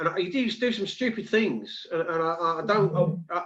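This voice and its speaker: With a London accent, a man talks at a moderate pace in a high pitch with lively intonation. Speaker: live stream host. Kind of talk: casual chat.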